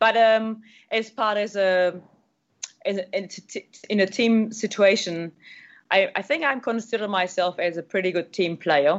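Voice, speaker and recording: A woman with a German accent speaks at a fairly slow pace, her medium pitch showing ordinary variation. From Germany. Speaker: triathlete and adventure racer. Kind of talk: interview.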